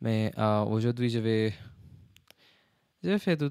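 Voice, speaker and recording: A man with an English accent speaks at a medium pitch in a dark, mellow tone. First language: English (speaking French). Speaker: French learner vlogger. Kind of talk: casual language practice vlog. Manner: casual, switching English and French; halting, many fillers in French.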